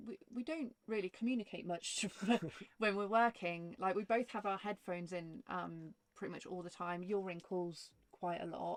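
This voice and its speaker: Medium in pitch, a woman speaks at a moderate pace with ordinary pitch variation in a dry, close sound with no echo. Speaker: vanlife vlogger. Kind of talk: casual chat. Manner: loud.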